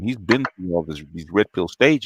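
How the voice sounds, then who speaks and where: A man speaks with vocal fry and lively intonation at a fairly quick pace. The sound is dry and close, with no echo. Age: 60s. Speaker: YouTube commentator. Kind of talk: livestream monologue. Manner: animated.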